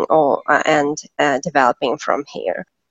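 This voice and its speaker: A woman's very deep, low voice with a Russian accent at a fairly slow pace. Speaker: events consultant. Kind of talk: interview. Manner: halting.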